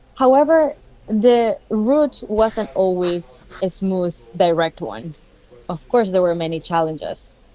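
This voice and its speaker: With a Spanish accent, a woman speaks at a very slow pace. Her dark, mellow tone has very wide pitch swings. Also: medium pitch for a woman. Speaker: scientist and conference speaker. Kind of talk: conference keynote talk.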